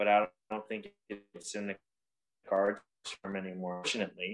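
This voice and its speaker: Fairly low-pitched male speech at a fairly quick pace. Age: 20s. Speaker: motorcycle racer. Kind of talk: casual chat.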